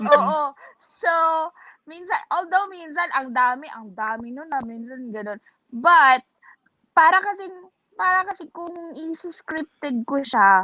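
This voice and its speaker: In a high voice, a woman talks at a fairly slow pace with long, frequent pauses, very wide pitch swings and big swings in loudness. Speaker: vlogger. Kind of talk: casual chat. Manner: stutters sometimes.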